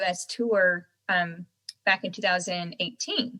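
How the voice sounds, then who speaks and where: A woman with an American accent, medium pitch, a bright, sharp tone, fairly even intonation and a fairly slow pace. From North Carolina, US South. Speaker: singer-songwriter. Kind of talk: interview.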